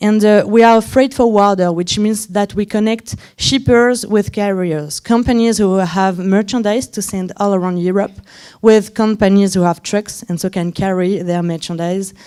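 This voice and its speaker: A woman speaks at medium pitch with a dark, mellow tone and fairly even intonation. Her pace is moderate, and the recording is very clean with a silent background. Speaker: head of design at a startup, conference speaker. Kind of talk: conference talk. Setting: stage with audience. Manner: halting, many fillers.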